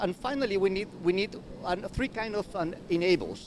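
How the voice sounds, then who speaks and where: This man speaks with a Spanish accent. His intonation is lively. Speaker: university researcher. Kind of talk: panel presentation. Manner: halting, many repeated words.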